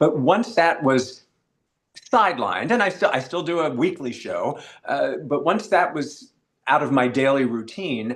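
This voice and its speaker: A man's fairly high-pitched voice with very wide pitch swings. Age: 60s. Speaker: author and podcaster. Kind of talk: interview. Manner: halting.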